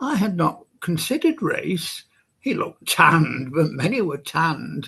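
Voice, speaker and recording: Against a quiet background, a man speaks at a moderate pace in a Welsh accent. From Wales. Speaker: poet. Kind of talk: poetry reading.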